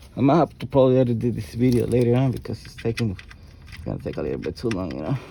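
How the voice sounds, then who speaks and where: Mumbling at a very fast pace, a man speaks with a medium pitch. His intonation is lively, and his loudness swings a lot. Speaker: auto mechanic. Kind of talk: tutorial. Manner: casual, halting with repetitions.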